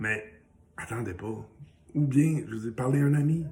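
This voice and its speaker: A somewhat breathy man in a Quebec accent, at a moderate pace with ordinary pitch variation. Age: 60s. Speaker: small business owner and social media personality sharing recovery story. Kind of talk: casual motivational video message. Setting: home, morning coffee.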